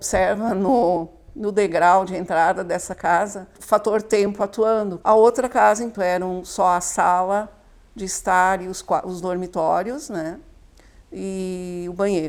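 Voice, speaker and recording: A woman with a normal speaking voice talks at a medium pitch and with fairly even intonation in a very clean recording with a silent background. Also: fairly slow pace. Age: 60s. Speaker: local resident, house owner's mother. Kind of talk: documentary interview.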